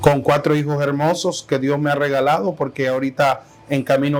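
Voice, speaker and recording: Against noticeable background noise, a man talks at a moderate pace in a fairly high voice. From Honduras, Tegucigalpa. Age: 30s. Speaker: pastor. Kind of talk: interview testimony. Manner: hesitant, with fillers and repetitions.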